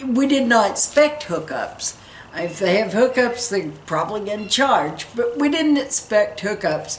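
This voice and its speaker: Pitch swings very widely in this fairly slow delivery, set against noticeable background noise. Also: woman, fairly high pitch for a woman. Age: 60s. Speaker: RV travel vlogger, teacher. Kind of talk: casual trip-planning chat. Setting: back porch.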